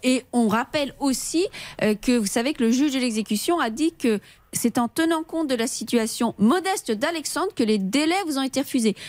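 A woman's high-pitched voice with lively intonation, very even loudness, and a moderate pace. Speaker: lawyer. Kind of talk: legal advice on radio. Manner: formal.

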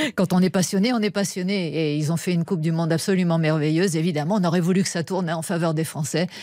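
A woman with a fairly low voice speaks very fast, with hardly any pauses. Her loudness stays very even and her intonation fairly even. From France. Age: 50s. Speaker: astrobiologist. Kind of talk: radio interview.

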